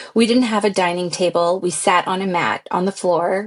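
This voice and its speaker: With a Californian accent, a woman talks at a moderate pace with ordinary pitch variation over noticeable background noise. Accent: Californian American. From US, San Francisco Bay Area. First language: Pashto. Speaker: pilot. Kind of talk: interview.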